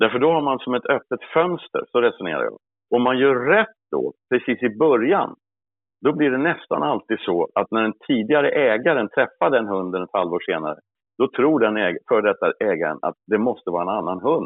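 Pitched in the medium range, a man's voice makes very wide pitch swings. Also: moderate pace. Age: 60s. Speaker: hunting dog trainer. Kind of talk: interview.

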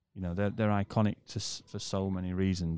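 Talking at a very fast pace, a man with a British accent has a very deep, low pitch and a dark, mellow tone, captured on a very clean recording with a silent background. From UK. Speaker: mechanic. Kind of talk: casual chat. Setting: hotel lobby, wearing masks.

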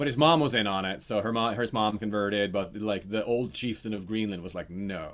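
A man with a Norwegian accent talks at a fairly quick pace with hardly any pauses, fairly low pitch and ordinary pitch variation, in a very clean recording with a silent background. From Norway. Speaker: actor and game master. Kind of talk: casual chat. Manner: animated, jokey.

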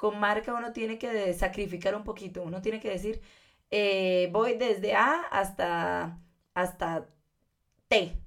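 A woman with a normal speaking voice talks at a fairly slow pace, her pitch fairly high with ordinary pitch variation. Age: 20s. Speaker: fashion designer. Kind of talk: casual interview.

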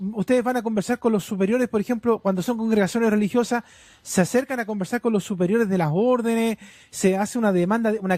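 A man's high voice at a very fast pace, fairly even in intonation and very even in loudness, with a dry, close sound and no echo. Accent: Chilean. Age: 30s. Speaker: radio host. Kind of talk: radio interview.

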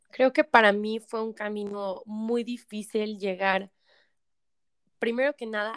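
The speaker talks very slowly with fairly even intonation. The recording is very clean, with a silent background. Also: woman. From Mexico, San Luis Potosí. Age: 20s. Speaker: addiction therapist. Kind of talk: testimony.

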